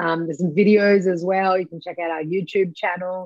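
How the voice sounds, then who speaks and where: Recorded dry with no echo against a quiet background, a woman speaks with an Australian accent. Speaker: cannabis education company founder; guest. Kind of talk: interview. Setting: video call. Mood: friendly, smiling. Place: home room. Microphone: video call.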